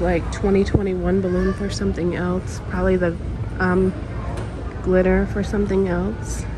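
A woman's voice with a dry, echo-free sound and noticeable background noise. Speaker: shopping vlogger. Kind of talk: casual vlog chat. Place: shop. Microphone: phone near.

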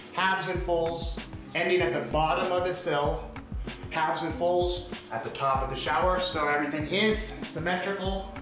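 A man is speaking with audible room echo. Clear music plays in the background. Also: moderate pace. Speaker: tile contractor. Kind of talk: tutorial walkthrough. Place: bathroom. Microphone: phone near.

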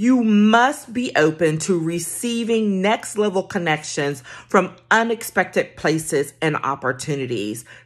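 Against a quiet background, a woman speaks at a very slow pace. Her pitch swings very widely. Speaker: career coach. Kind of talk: casual vlog tip. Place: home room. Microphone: phone near.

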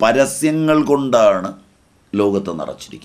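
Against a quiet background, a man with a fairly high pitch speaks with lively intonation. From Kerala, India. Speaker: spiritual teacher. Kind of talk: religious discourse.

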